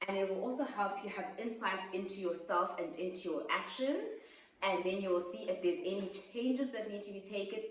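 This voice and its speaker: There is audible room echo around a woman speaking at medium pitch. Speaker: YouTuber. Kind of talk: casual vlog talk. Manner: fast.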